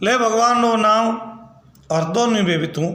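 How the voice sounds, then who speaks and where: With noticeable background noise behind him, a high-pitched man speaks in a raised, projected voice with ordinary pitch variation. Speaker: folk storyteller. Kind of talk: folk tale narration.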